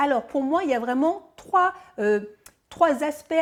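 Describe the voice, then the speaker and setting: Her pitch is high, and the woman speaks with lively intonation. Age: 50s. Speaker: fitness coach. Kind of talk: tutorial. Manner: casual, hesitant with fillers.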